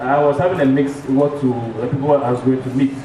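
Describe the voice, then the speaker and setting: At a fairly quick pace, a man talks amid noticeable background noise and audible room echo. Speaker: bank executive presenter. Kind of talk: business presentation. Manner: fast.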